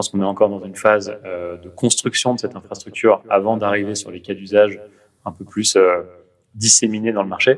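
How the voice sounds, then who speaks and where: A fairly low male voice at a fairly quick pace, monotone and flat in intonation, with big swings in loudness. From Paris, France. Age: 30s. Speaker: venture capital investor. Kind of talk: interview.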